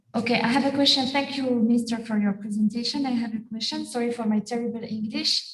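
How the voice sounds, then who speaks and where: A woman with a French accent speaks at a very fast pace with hardly any pauses, her pitch fairly high. Her intonation is monotone and flat, and noticeable background noise is present. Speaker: physician. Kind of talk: webinar question.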